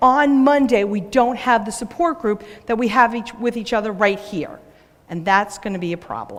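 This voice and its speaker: With noticeable background noise, a woman in a New York accent speaks at a moderate pace, fairly high in pitch, with ordinary pitch variation. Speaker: business owner and speaker. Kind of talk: conference talk.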